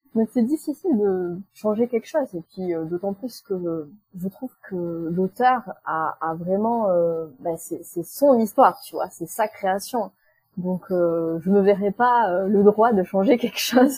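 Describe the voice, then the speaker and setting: Somewhat breathy and dark, mellow in tone, a woman speaks at a very slow pace with ordinary pitch variation, in a dry, close sound with no echo. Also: medium pitch for a woman. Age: 30s. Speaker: book blogger and YouTuber. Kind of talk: casual interview. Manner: hesitant, many fillers.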